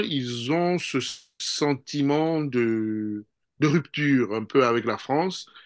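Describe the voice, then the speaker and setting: A man at a very slow pace, with ordinary pitch variation, against a quiet background. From DR Congo. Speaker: political analyst. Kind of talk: political interview. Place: home room. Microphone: video call.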